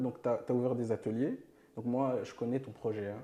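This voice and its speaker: A man speaks with a non-native accent. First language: not French (speaking French). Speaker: podcast host. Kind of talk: interview.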